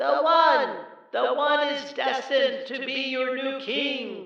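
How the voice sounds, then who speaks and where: A put-on character voice, high in pitch and fairly slow, with clear echo. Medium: read story. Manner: impatient, sarcastic.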